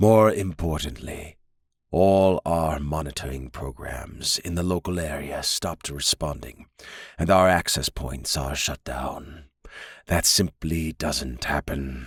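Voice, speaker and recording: A man puts on a character voice with a very deep, low pitch, speaking at a fairly slow pace in a very clean recording with a silent background. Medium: read story. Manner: measured, authoritative.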